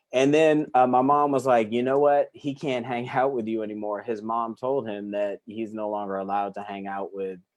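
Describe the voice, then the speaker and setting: Speaking at a moderate pace with hardly any pauses, a man with an American accent has an ordinary speaking voice at a medium pitch. His pitch variation is ordinary. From Massachusetts and Oklahoma, US military family. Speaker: life coach. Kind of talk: interview. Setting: live stream video call.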